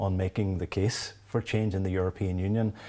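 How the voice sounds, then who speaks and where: With a Derry accent, a man talks at a moderate pace in a fairly low pitch with a dark, mellow tone. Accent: Northern Irish (Derry). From Northern Ireland, Derry. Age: 50s. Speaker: law professor. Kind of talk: interview. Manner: halting, frequent repetitions.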